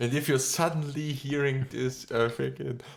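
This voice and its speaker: Noticeable background noise sits behind a man with a German accent. He has a fairly high pitch and ordinary pitch variation. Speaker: podcast co-host. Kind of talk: casual chat.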